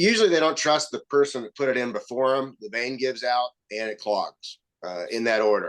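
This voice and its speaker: With a Southern US accent, a man talks at a fairly quick pace in a medium pitch. His intonation is lively, with big swings in loudness. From US South. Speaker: medical device company founder. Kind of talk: podcast interview. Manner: halting.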